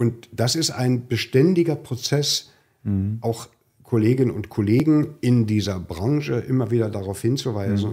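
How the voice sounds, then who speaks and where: A man talks at a moderate pace in a medium pitch with ordinary pitch variation. His tone is dark and mellow, somewhat breathy. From East Germany. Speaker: executive of a social-welfare organisation. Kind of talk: conversational podcast. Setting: studio.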